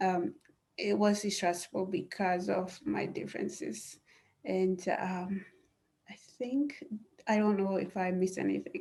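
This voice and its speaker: The speaker has a non-native accent. The pace is fairly slow, with long, frequent pauses. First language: not English. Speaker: blind panelist. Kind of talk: panel discussion. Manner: halting, many fillers.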